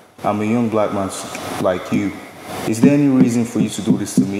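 A man talks at a very fast pace with fairly low pitch and ordinary pitch variation. There is audible room echo and noticeable background noise. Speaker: law student. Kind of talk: testimony. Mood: earnest, reflective about violence. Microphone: podium.

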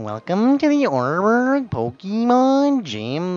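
A female-sounding put-on character voice with a fairly high pitch talks at a fairly slow pace. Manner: goofy, exaggerated.

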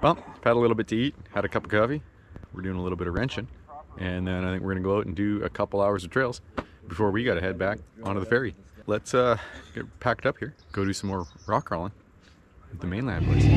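Talking at a very fast pace with ordinary pitch variation, a man is heard in a dry recording with no echo and light background noise. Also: fairly low pitch for a man. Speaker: off-road vlogger. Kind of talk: casual vlog chat. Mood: wry, mildly annoyed then upbeat. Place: open country. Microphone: phone near.

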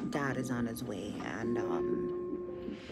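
A woman is heard against loud music in the background. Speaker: pregnant vlogger. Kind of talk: casual vlog chat. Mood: anxious, worried.

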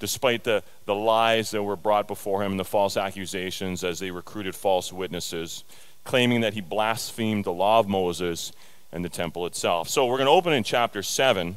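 Using a plain, everyday voice, a man with a fairly low pitch talks at a fairly quick pace with ordinary pitch variation. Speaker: preacher. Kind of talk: sermon. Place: church. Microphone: headset.

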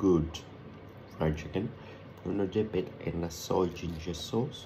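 Light background noise sits behind a man with a very deep, low voice. He talks at a fairly slow pace with ordinary pitch variation. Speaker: food vlogger. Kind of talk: casual food tasting vlog. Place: home room. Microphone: phone near.

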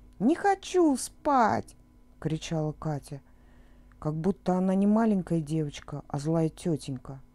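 A woman's fairly low, dark, mellow voice in a calm, soothing tone at a fairly slow pace, dry and close with no echo, on a very clean recording with a silent background. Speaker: audiobook narrator. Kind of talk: children's bedtime story reading.

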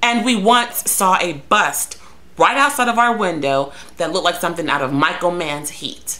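A woman speaks with lively intonation. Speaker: vlogger telling a story. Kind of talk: casual vlog chat. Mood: sarcastic, exasperated. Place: home room. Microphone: webcam.

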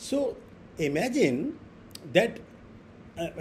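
The voice moves at a fairly slow pace with very wide pitch swings over light background noise. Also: man. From India. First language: Hindi. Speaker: professor giving lecture; invited professor lecturing. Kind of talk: online lecture. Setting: video call. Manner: hesitant, fillers, repeats words. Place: home room.

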